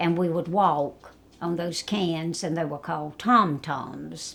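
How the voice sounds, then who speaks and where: A woman speaks with a South Carolina accent. Her pitch is fairly low. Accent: Southern US (South Carolina). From US South, South Carolina (Florence). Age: 80s+. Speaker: retired nursing home activity director. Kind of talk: interview, life story.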